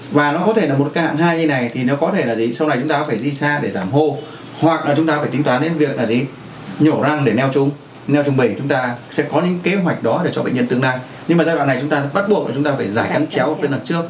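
A man talks at a very fast pace with ordinary pitch variation, light background noise and audible room echo. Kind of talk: lecture. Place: office. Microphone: camera far.

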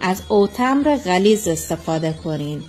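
With music in the background, a woman speaks very slowly with lively intonation. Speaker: home cook. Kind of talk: cooking tutorial.

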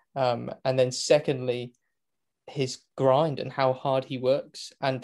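Against a quiet background, a man speaks with a British accent. His pitch is medium. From Great Britain. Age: 20s. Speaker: motorsport commentator; podcast guest, motorsport commentator. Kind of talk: casual interview chat. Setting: remote call from home. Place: home room.

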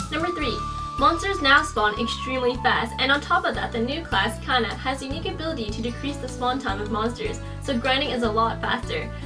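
A woman talks at a fairly quick pace while clear music plays in the background. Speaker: gaming vlogger. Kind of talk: scripted informational game vlog. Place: home room.

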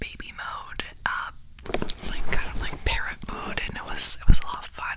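A soft-spoken woman whispering at a fairly slow pace over noticeable background noise. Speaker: ASMR creator. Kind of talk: casual vlog chat, soft-spoken storytelling. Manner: soft close whisper into ear mic. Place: home room. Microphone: studio mic.

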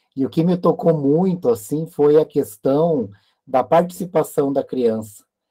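A man talks at a fairly slow pace with lively intonation. His pitch is fairly high, and the background is quiet. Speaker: academic committee organizer. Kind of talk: closing remarks. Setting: video call. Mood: warm, reflective. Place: office. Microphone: webcam.

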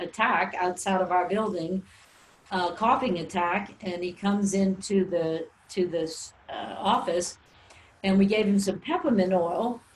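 Noticeable noise in the background beneath fairly even intonation. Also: woman. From New Orleans, Louisiana. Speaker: natural health teacher. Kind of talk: webinar presentation. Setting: recorded webinar.

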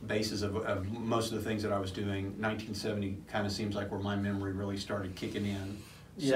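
Light noise hums behind the voice, and the room echo is audible. The speaker is a man. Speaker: podcast co-host. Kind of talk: casual podcast chat, personal memories. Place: studio.

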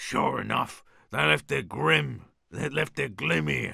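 A man uses a put-on, raspy character voice pitched very deep and low. His delivery is very slow. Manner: shouting, rough.

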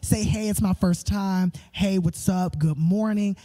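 A man's high-pitched voice over music in the background. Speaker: livestream pre-show host. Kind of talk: casual host chat to online viewers. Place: church. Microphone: handheld.

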